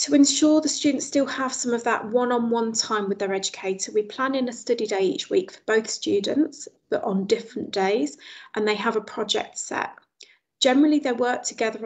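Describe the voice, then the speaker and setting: A woman talks at a fairly quick pace with lively intonation against a quiet background. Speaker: presenter. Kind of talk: webinar presentation. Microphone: video call.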